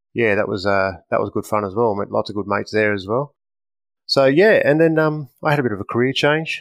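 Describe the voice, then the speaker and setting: This man speaks at a fairly quick pace with an Australian accent and ordinary pitch variation. The sound is dry and close with no echo, over a quiet background. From Australia, Western Sydney. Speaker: firearms company representative, former police officer. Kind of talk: podcast interview. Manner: hesitant, many fillers.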